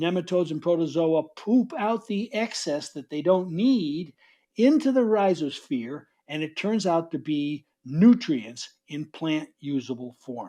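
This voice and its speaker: Over a quiet background, a man with a New York accent talks at a fairly slow pace, high in pitch with lively intonation and a dark, mellow tone. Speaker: author and soil biology speaker. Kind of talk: conference talk.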